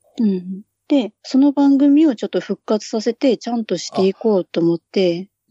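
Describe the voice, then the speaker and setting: Here a woman speaks at a moderate pace with a fairly high pitch. Her voice is somewhat breathy, with lively intonation. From Japan, Hokkaido. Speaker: podcaster guest. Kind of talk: casual chat. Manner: low-key, subdued.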